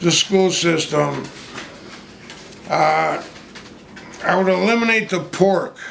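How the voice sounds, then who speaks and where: A man speaking at a very slow pace amid noticeable background noise and audible room echo. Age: 70s. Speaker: interviewee at street interview. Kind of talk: street interview. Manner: halting, many fillers and repetitions.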